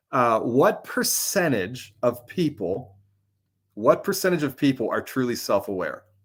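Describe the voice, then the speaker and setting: Loud and fairly slow, a man at medium pitch swings his pitch very widely in a very clean recording with a silent background. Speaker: ministry executive, live show host. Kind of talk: casual live-stream talk with encouragement. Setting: live stream broadcast. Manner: halting, many fillers.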